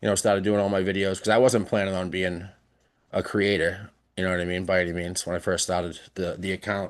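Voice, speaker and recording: With a Boston accent, a man speaks very fast in a very deep, low, monotone and flat voice over a quiet background. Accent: funny accent (Boston area). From South Shore, Massachusetts (near Boston). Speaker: podcast guest, social media creator. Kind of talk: casual chat. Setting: live-streamed podcast.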